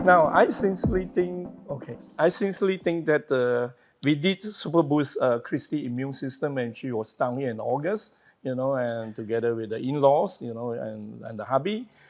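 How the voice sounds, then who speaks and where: Delivered at a moderate pace with lively intonation, this is an unremarkable speaking voice. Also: man, fairly high pitch for a man. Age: 60s. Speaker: wellness doctor. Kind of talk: interview.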